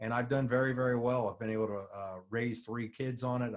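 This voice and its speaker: Monotone and flat in intonation, a man rattles along at a very fast pace. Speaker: network marketing presenter. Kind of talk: sales pitch. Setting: webinar.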